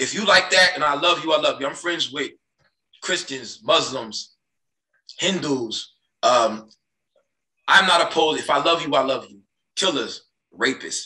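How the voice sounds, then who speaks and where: A man's fairly high, bright, sharp voice with vocal fry, ordinary pitch variation, a moderate pace, long, frequent pauses, big swings in loudness, audible room echo and a quiet background. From US Midwest. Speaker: podcast host; podcast guest. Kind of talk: heated debate. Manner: animated. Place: home room. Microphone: video call.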